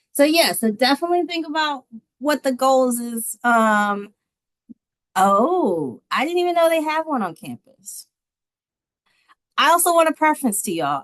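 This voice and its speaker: Animated in tone, a woman speaks at a fairly slow pace with very wide pitch swings, the sound dry and close with no echo. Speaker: university staff presenter. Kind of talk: workshop presentation.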